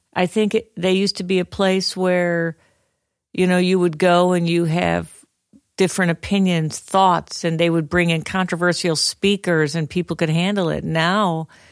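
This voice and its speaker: A woman's fairly low, flat monotone at a fairly slow pace, in a very clean recording with a silent background. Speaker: church member, podcast co-host. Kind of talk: casual panel discussion.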